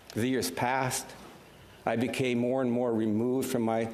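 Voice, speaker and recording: A man with a Canadian accent talks at a moderate pace, medium-pitched and monotone. Room echo is audible. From Canada, Ukrainian refugee family. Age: 70s. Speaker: senator. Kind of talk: parliamentary speech. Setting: senate chamber. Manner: formal.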